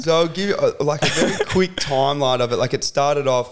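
He talks with a strong Australian accent. The man's pitch variation is ordinary. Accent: broad Australian. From rural Victoria, Australia. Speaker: podcast guest, social media content creator and athlete trainer. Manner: casual, uses lots of filler words.

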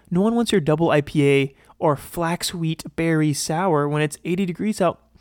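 A man with an American accent talks in a fairly high voice with ordinary pitch variation, in a very clean recording with a silent background and a dry, close sound with no echo. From US Midwest. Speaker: podcast host. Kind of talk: casual solo commentary. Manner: casual, filler-heavy.

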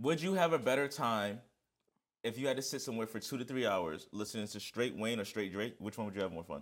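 Over a silent background in a very clean recording, a man with a New York accent talks very fast at medium pitch, animated in tone and lively in intonation. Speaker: podcast co-host. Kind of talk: casual chat.

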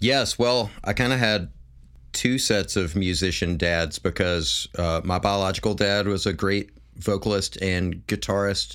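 With an American accent, a man talks fairly slowly in a plain, everyday voice, fairly low in pitch with ordinary pitch variation and very even loudness, on a very clean recording with a silent background. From US South, Memphis, Tennessee. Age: 40s. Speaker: musician. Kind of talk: casual chat.

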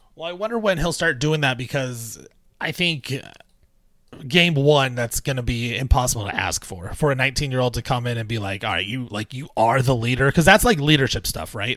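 On a very clean recording with a silent background, a man talks at a fairly quick pace. His is an unremarkable speaking voice at a medium pitch. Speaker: podcast host. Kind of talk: casual sports talk podcast.

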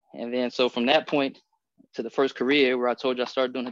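With a plain, everyday voice, a man talks at a fairly quick pace and medium pitch, his intonation fairly even and the sound dry and close with no echo. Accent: American. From US Midwest, Columbus, Ohio. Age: 30s. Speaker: clothing designer and military retiree. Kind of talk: casual chat.

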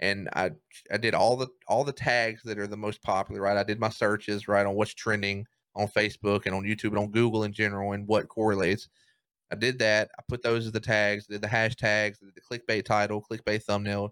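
A man's fairly low, monotone voice with flat intonation, in a Southern US accent at a fairly quick pace, with a dry, close sound with no echo and a very clean recording with a silent background. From US South, Mississippi. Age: 20s. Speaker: streamer, content creator. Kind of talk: casual chat.

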